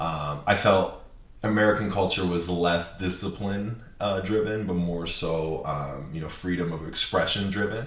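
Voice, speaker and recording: With noticeable background noise and audible room echo, a man talks at a moderate pace in a very deep, low voice. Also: ordinary pitch variation. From Japan. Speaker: videographer and content creator. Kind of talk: podcast interview.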